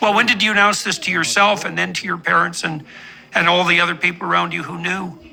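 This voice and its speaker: Noticeable background noise fills the clip. The talking comes at a very fast pace. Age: 60s. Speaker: psychologist interviewer. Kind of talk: interview.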